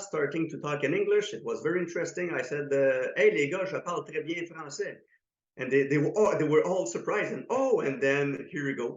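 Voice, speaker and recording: Speaking with a slight French accent, a man uses a fairly high pitch and ordinary pitch variation at a fairly quick pace. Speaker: karate instructor. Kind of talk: interview. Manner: halting.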